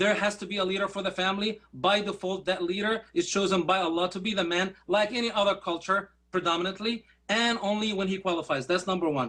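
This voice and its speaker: A raised, projected male voice, high in pitch with a bright, sharp tone, at a very fast pace. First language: Arabic. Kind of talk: formal debate rebuttal. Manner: animated.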